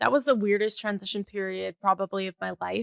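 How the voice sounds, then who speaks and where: The sound is dry and close with no echo as a woman speaks at medium pitch. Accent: slight Canadian. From Canada (Calgary, Alberta). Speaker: podcast host, bookkeeper and fractional CFO. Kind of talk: casual personal podcast monologue. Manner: casual, chatty with fillers.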